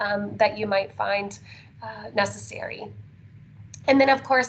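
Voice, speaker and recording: A woman talks at a fairly slow pace, her loudness swinging widely. There is audible room echo and noticeable background noise. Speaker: special education transition specialist. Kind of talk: conference presentation. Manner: animated.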